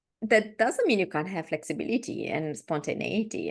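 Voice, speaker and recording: A woman talks with vocal fry. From Romania. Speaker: podcast co-host. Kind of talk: casual chat.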